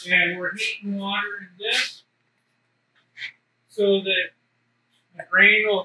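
At a fairly slow pace, a man speaks in a raised, projected voice. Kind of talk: explanatory tour talk. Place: factory. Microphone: camera far.

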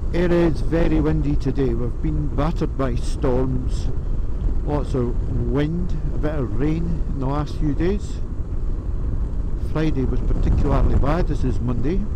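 A man speaks with long, frequent pauses over noticeable background noise. The sound is dry, with no echo. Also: fairly slow pace. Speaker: motorcycle rider vlogger. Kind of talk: casual vlog chat. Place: motorbike. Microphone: helmet.

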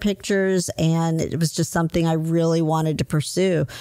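Using an ordinary speaking voice, a woman with an American accent talks at a fairly low pitch with fairly even intonation. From US South, Huntsville, Alabama. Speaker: photographer and recovery coach. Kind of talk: casual interview. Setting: photography studio.

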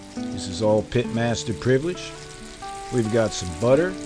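A man at a fairly slow pace with ordinary pitch variation, set against noticeable background noise. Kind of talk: cooking tutorial chat. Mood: jovial, relaxed. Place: home room.

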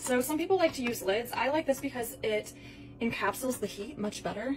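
A woman's high pitch at a moderate pace with ordinary pitch variation, over noticeable background noise. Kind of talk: tutorial. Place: kitchen.

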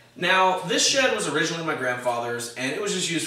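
There is audible room echo. A man talks at a very fast pace. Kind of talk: tutorial. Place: workshop.

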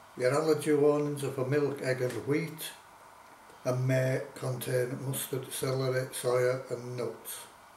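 A man talks fairly slowly in a flat monotone. Light background noise and audible room echo surround him. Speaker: food reviewer. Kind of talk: casual vlog chat. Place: kitchen. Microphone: camera far.

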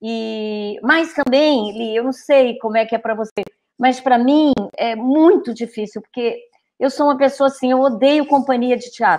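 High-pitched woman's voice at a fairly slow pace against a quiet background. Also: ordinary pitch variation. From Brazil. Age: old. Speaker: theatre director. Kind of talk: casual chat. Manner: halting. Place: home room. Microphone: earbuds.

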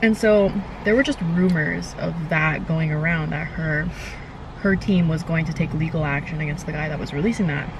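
A woman with a very deep, low pitch and ordinary pitch variation is heard in a dry sound with no echo, over noticeable background noise. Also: moderate pace. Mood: indignant, critical. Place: car.

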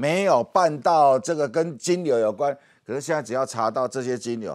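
A man's animated tone and lively intonation at a moderate pace, against a quiet background. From Taiwan. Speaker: political commentator. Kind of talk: TV political talk show discussion. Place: studio. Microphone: lapel.

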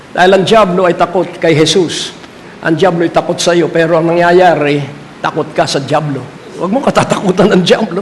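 Against noticeable background noise, a man with a high voice talks at a fairly quick pace. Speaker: preacher. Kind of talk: sermon. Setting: church with congregation. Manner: animated, call-and-response preaching; emphatic, repeats key lines.

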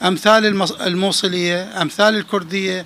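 A man speaks with a southern Iraqi accent. Light background noise can be heard. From Dhi Qar, Iraq. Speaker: journalist and folklore author; journalist. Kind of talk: interview; interview answer. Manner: halting. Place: home room. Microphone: handheld.

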